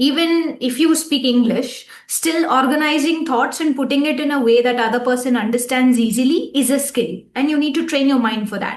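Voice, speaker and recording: A woman's high voice in a Tamil accent, with ordinary pitch variation, at a moderate pace, in audible room echo. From India, Tamil-speaking. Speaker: relationship coach, podcast co-host. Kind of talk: casual chat.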